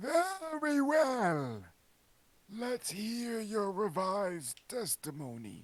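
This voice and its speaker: In a put-on character voice, a man speaks very slowly at a high pitch, his voice making very wide pitch swings. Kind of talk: comic overacting. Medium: game stream. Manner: pompous, slightly confused.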